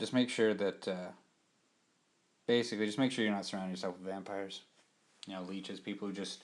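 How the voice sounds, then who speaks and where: Fairly low in pitch, a man with an American accent speaks at a fairly quick pace with fairly even intonation. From US Pacific Northwest, Portland, Oregon. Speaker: podcast host. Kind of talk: casual monologue podcast. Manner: monotone; hesitant, with many fillers.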